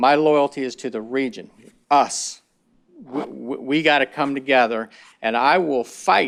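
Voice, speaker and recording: In a very clean recording with a silent background, a man speaks fairly slowly with fairly even intonation. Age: 60s. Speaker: state agency regional official. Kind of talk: board meeting presentation. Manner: rambling, repetitive.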